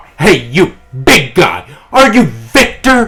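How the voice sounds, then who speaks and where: A man's raised, projected put-on character voice, raspy and high-pitched, at a fairly slow pace with very wide pitch swings. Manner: challenging, confrontational, provoking.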